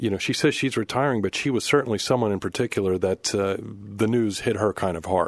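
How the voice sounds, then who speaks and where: Speaking very fast with an American accent, a man uses a fairly low pitch and ordinary pitch variation against a quiet background. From Pittsburgh, Pennsylvania. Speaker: radio news reporter. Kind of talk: casual chat. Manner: hesitant, filler-heavy.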